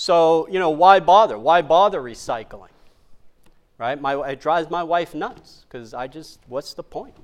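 An ordinary speaking voice from a man with an American accent, fairly high pitch and lively intonation, at a moderate pace in a very clean recording with a silent background. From New York City (Queens). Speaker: chiropractic lecturer. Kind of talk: lecture. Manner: conversational.

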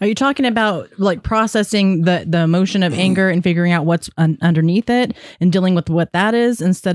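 Fairly quick delivery with hardly any pauses, ordinary pitch variation, very even loudness, an ordinary speaking voice, and a dry, close sound with no echo. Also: woman. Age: 40s. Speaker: podcast host and peer support specialist. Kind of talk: casual interview conversation; scripted intro.

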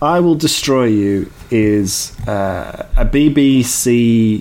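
Noticeable background noise beneath very wide swings in pitch. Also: man. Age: middle-aged. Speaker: podcast co-host. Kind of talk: casual chat.

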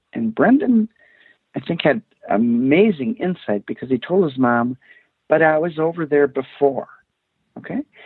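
A man with an Upper Midwest accent talks at a fairly high pitch, swinging very widely in pitch and leaving long, frequent pauses. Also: moderate pace. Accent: Upper Midwest American. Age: 50s. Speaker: former prosecutor. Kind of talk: interview.

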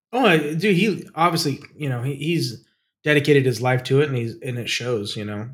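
A man with a normal speaking voice talks fairly quickly. His pitch is fairly high and his intonation lively. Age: 40s. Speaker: aviation podcast co-host, aerobatic pilot. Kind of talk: casual chat.

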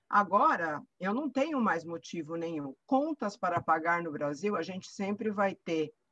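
With a bright, sharp tone and medium pitch, a woman speaks at a fairly slow pace with lively intonation and hardly any pauses, in a dry, close sound with no echo. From Brazil. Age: 60s. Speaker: author. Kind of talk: interview conversation. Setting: remote call from England.

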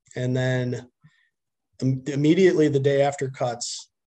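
A man speaks with a Wisconsin accent at a medium pitch. His tone is dark and mellow and somewhat breathy. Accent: Upper Midwest (Wisconsin) American. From Wisconsin (Milton, dairy farm). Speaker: high school baseball coach. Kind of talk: podcast interview.

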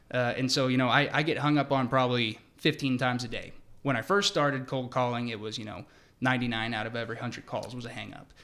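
A plain, everyday voice with an American accent. It moves at a fairly quick pace. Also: man. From US Pacific Northwest, Seattle. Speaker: sports ticket sales executive. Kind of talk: casual interview.

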